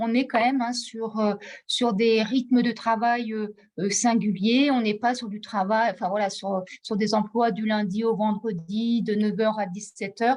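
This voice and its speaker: Somewhat breathy delivery at a fairly slow pace, with fairly even intonation. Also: woman, fairly high pitch for a woman. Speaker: training funding advisor. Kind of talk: webinar presentation. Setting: video call.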